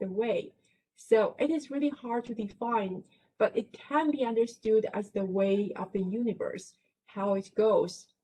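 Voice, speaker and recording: Speaking at a fairly slow pace, a woman with a Chinese accent has a somewhat breathy, dark, mellow tone, a fairly high pitch and ordinary pitch variation. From China. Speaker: professor. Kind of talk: lecture.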